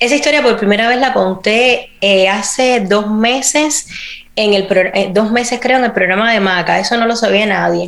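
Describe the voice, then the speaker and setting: A woman with a fairly high voice speaks at a moderate pace with ordinary pitch variation and very even loudness, amid noticeable background noise and audible room echo. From Cuba. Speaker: actress and podcast host. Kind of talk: interview.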